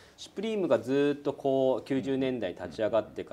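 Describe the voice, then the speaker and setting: A man's dark, mellow tone at a fairly quick pace. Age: 40s. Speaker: company executive; guest. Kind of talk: interview. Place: office.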